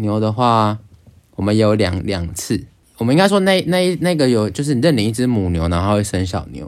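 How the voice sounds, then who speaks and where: A man speaks at a moderate pace with a Taiwanese accent. His fairly low voice has very wide pitch swings. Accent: Taiwanese Mandarin. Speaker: podcast co-host. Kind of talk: casual chat.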